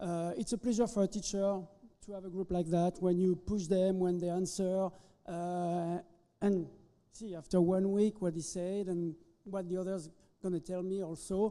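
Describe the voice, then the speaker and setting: A man speaks with a French accent in a high pitch, his tone dark and mellow. His delivery is monotone and flat at a moderate pace. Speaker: chef instructor. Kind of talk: ceremony interview. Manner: halting.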